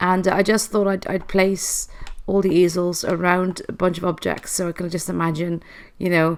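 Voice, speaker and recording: Medium in pitch, a woman's voice holds monotone, flat intonation. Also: moderate pace. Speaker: gaming youtuber. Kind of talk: gameplay tour commentary. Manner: halting, stuttering; casual, chatty.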